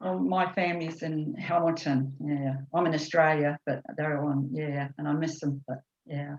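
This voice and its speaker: Her very deep, low pitch and ordinary pitch variation stand out as a woman talks at a moderate pace. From New Zealand. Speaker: course participant. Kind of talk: casual chat. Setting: video call.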